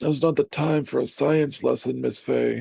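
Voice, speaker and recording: Here a man performs a put-on character voice. He keeps a moderate pace. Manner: stern, scolding.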